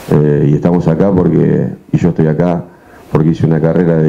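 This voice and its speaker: Moderate pace and ordinary pitch variation. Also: man. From Argentina. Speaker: football coach. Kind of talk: press conference. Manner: halting. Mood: firm, self-defending. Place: meeting room. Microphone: handheld.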